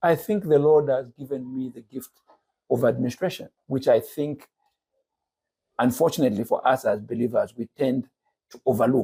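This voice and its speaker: At a moderate pace, a man with a medium pitch and a dark, mellow, somewhat breathy tone speaks with ordinary pitch variation, big swings in loudness, and long, frequent pauses. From Zambia, Lusaka. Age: 60s. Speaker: businessman and church teacher. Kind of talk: podcast interview.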